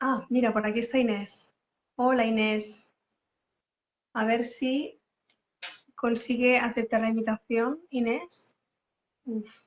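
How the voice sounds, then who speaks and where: A woman talks at a very slow pace with a fairly high pitch and a monotone, flat intonation. Her pauses are long and frequent. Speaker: co-host of parenting talk. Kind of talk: casual chat.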